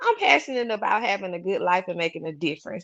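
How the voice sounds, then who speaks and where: A woman speaks with a Southern US accent and a fairly low pitch. Her pitch varies in an ordinary way against a quiet background. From US South, Mobile, Alabama. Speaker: author and real estate professional. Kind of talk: casual interview. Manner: animated.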